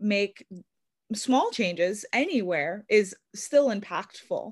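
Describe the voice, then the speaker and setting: A woman with an American accent has an unremarkable speaking voice, medium in pitch with ordinary pitch variation. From New York. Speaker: podcast host. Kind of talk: casual interview. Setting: video call.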